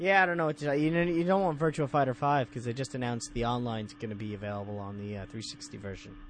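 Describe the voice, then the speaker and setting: With an American accent, the speaker talks at a very fast pace with hardly any pauses. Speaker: guest video game podcaster. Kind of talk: casual banter. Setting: remote call.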